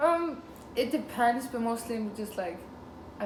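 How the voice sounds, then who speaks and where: A woman with an Icelandic accent speaks amid noticeable background noise and audible room echo. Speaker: interviewee, student. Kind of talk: casual interview. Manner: hesitant, many fillers.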